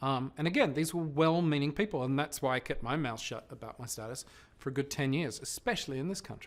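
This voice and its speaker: A man with an Australian accent talks at a very fast pace and a fairly high pitch. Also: ordinary pitch variation. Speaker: television presenter. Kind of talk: interview.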